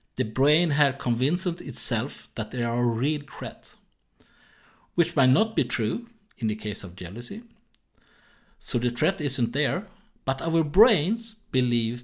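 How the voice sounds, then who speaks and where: A man of medium pitch speaks fairly slowly, with long, frequent pauses. His pitch swings very widely and his loudness changes a lot. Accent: Swedish. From Sweden. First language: Swedish. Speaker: jealousy therapist. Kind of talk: solo educational podcast. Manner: halting.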